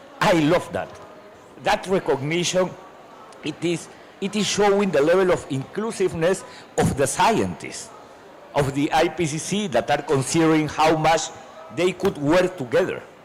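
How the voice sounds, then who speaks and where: A high-pitched male voice at a moderate pace, with long, frequent pauses, ordinary pitch variation and noticeable background noise. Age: 60s. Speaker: climate policy panelist. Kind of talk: panel discussion. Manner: halting, repeats words.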